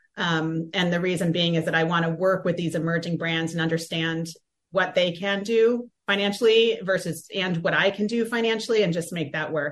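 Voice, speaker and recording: A woman speaks at a moderate pace with hardly any pauses, her pitch fairly low. She has a plain, everyday voice. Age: 40s. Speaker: community organizer and marketing consultant. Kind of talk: radio interview. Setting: studio.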